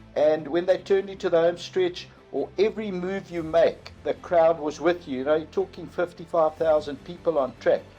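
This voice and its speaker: A man talks at a moderate pace in a high pitch, with fairly even intonation and hardly any pauses. Music plays in the background. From South Africa. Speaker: horse racing commentator. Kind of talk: interview answer about race calling.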